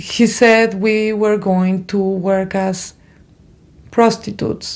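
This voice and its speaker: A woman speaks in a monotone, flat intonation at a medium pitch. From abroad, far from the US. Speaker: trafficking survivor. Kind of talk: testimony.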